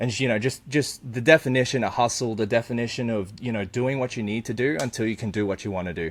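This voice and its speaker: A man with an Australian accent, medium in pitch, talking very fast with hardly any pauses. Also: ordinary pitch variation. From Australia, Brisbane. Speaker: eBay reseller. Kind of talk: casual interview chat.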